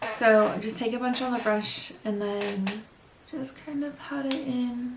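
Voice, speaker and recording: A soft-spoken woman with a high pitch and fairly even intonation, at a fairly slow pace, over noticeable background noise. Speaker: beauty vlogger. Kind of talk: makeup tutorial. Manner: quiet.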